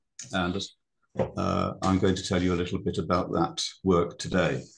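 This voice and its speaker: With a British accent, a man speaks at a very deep, low pitch and a moderate pace. His intonation is fairly even, and the background is quiet. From Britain. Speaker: ecologist. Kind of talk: presentation. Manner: hesitant, many fillers.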